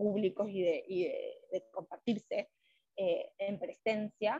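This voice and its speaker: A woman with a Uruguayan accent speaks at medium pitch, somewhat breathy, in a dry, close sound with no echo. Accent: Rioplatense Spanish (Uruguayan). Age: 20s. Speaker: psychologist. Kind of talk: interview.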